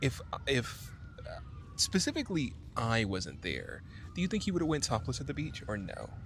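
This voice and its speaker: A man speaks quietly at a moderate pace. He leaves long, frequent pauses. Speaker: podcast co-host. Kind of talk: casual book discussion. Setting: outdoors in a park. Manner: speaking quietly.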